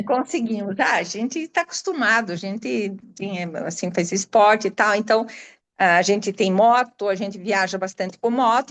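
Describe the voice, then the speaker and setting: At a moderate pace, a woman speaks with a dry, close sound with no echo over a quiet background. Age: 70s. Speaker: former tour client. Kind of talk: testimony. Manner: animated.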